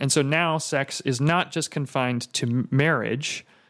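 A man with a normal speaking voice speaks in an American accent. His pitch is fairly high and his intonation fairly even. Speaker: podcast host. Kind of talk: casual chat.

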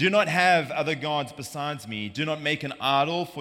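With a South African accent, a man talks in a bright, sharp tone. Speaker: preacher. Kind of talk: sermon. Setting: church.

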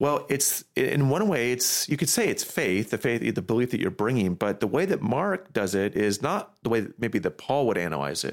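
At a moderate pace, a man of medium pitch speaks with vocal fry on a very clean recording with a silent background. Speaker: pastor. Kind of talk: casual chat.

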